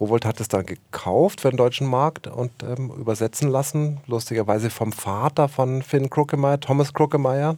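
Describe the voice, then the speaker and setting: A man speaks at a moderate pace with a medium pitch. His tone is dark and mellow, and his intonation is fairly even. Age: 50s. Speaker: film and theatre director. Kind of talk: interview. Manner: hesitant, many fillers.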